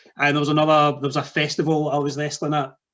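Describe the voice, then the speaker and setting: The speaker has a Scottish accent. The background is quiet. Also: man. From Scotland. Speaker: wrestling podcast host and wrestler. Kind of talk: podcast interview.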